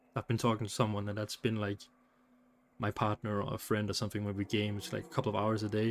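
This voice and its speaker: A man speaks with a Danish accent. The recording is very clean, with a silent background. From Denmark. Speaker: streamer. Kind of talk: casual live stream chat. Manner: halting, repeats words.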